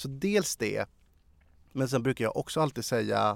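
A man's lively intonation and vocal fry at a fairly slow pace, in a dry, close sound with no echo. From Sweden, Sala. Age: 30s. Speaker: journalist. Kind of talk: interview.

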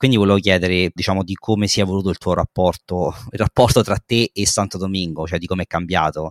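A man with a very deep, low pitch talks at a very fast pace with hardly any pauses. His intonation is fairly even, and the sound is dry and close with no echo. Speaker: podcast co-host. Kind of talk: casual chat.

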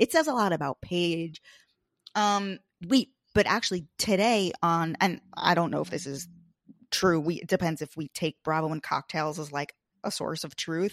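A woman with an American accent and an unremarkable speaking voice talks at a moderate pace and fairly low pitch with ordinary variation, the sound dry and close with no echo in a very clean recording with a silent background. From US Northeast (Long Island, New York). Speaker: podcast host, guest. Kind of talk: casual chat.

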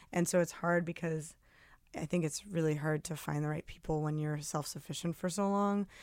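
In an American accent, a woman talks at a moderate pace with fairly low pitch and fairly even intonation. She has an unremarkable speaking voice, and the recording is very clean with a silent background. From New Jersey, near New York City. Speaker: singer-songwriter and former actor. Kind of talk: casual interview chat.

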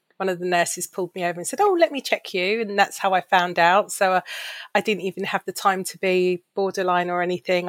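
The sound is dry and close, with no echo. A woman with a plain, everyday voice talks at a medium pitch and fairly quick pace with fairly even intonation. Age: 50s. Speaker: charity worker with type 2 diabetes. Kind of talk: podcast interview.

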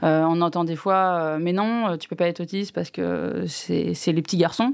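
Fairly low-pitched female voice at a fairly quick pace with ordinary pitch variation, on a very clean recording with a silent background. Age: 30s. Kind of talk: panel discussion. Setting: studio. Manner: halting.

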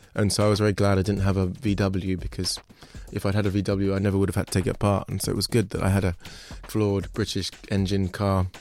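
A man speaks very fast in a London accent, fairly low in pitch. His intonation is monotone and flat, and his loudness is very even. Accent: southern English, London. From London (Kentish Town). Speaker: artist, sculptor. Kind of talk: interview.

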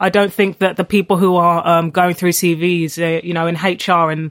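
A moderate pace in a London accent. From London, Tottenham. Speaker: author. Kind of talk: interview.

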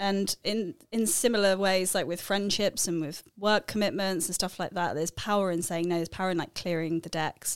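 A woman speaks in an ordinary speaking voice at a medium pitch and a fairly quick pace, with ordinary pitch variation, hardly any pauses, and a very clean recording over a silent background. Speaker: podcast co-host. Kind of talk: casual interview conversation.

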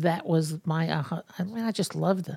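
In a New York accent, a woman speaks at a moderate pace. The recording is very clean, with a silent background. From New York City, Brooklyn. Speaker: fashion industry executive. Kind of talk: interview.

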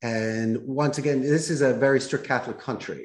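A man speaks with a Philadelphia accent. His intonation stays fairly even. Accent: Philadelphia American. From US Northeast, Philadelphia. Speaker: call center CEO. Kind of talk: podcast interview.

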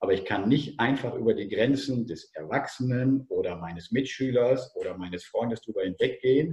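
Speaking at a moderate pace, a man uses a somewhat breathy, dark, mellow tone at a medium pitch. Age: 50s. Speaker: former teacher and tennis coach. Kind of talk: podcast interview.

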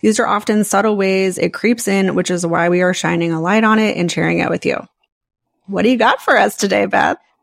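An ordinary speaking voice moves at a fairly quick pace, with fairly even intonation and very even loudness. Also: woman, medium pitch for a woman. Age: 40s. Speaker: podcast host and life coach. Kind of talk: casual chat.

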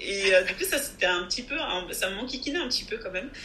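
A woman talks at a fairly quick pace, her medium-pitched voice swinging very widely. Noticeable background noise and audible room echo fill the recording. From France. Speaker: compensation consultant and investment advisor. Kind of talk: interview. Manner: animated.

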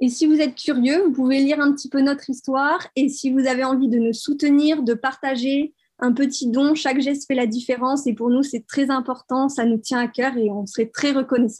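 A woman talks in a high pitch with fairly even intonation and hardly any pauses. The background is quiet. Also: moderate pace. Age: 20s. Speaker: marine biology student and entrepreneur. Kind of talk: interview.

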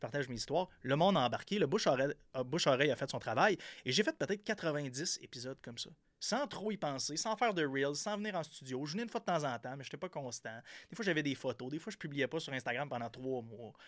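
Lively in intonation, a man with a fairly high pitch talks at a very fast pace. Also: very clean recording, silent background. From Quebec, Gaspésie (Percé). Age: 30s. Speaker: entrepreneur. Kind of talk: casual interview. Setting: studio.

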